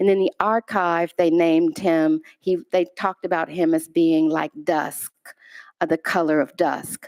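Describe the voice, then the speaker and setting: A woman speaks with an American accent at a fairly slow pace. Her intonation is fairly even, and the sound is dry and close with no echo. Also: fairly low pitch for a woman, very even loudness. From US Midwest, Chicago. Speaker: artist. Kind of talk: lecture.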